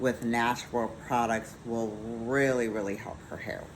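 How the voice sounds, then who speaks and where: A woman with a very deep, low pitch speaks at a fairly slow pace. Her intonation is monotone and flat, with audible room echo. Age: 50s. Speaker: skincare business owner. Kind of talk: sales pitch.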